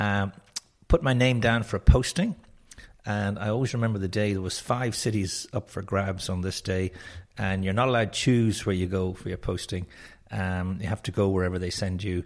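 A man with a Dublin accent and fairly low pitch, fairly quick pace and fairly even intonation, on a very clean recording with a silent background. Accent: Irish (Dublin). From Ireland, Dublin. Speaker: networking trainer and company founder. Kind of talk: interview.

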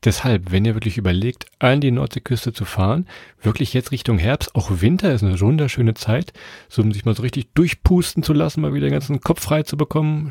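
Heard in a very clean recording with a silent background and a dry, close sound with no echo, a man with a dark, mellow tone and medium pitch talks at a fairly quick pace, somewhat breathy, with lively intonation. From Lower Saxony, Germany. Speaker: travel podcast host. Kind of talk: casual chat.

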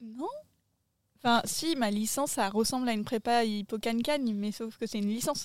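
Here is a plain, everyday voice from a woman at a moderate pace. Her pitch is fairly high, with ordinary pitch variation. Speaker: podcast guest. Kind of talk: casual chat. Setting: outdoors, garden table.

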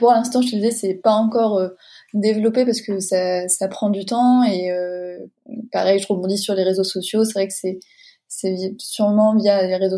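A woman's medium-pitched, dark, mellow voice with fairly even intonation at a moderate pace, in a very clean recording with a silent background. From France, Deux-Sèvres. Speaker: illustrator and graphic designer. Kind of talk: interview. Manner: hesitant, many fillers.

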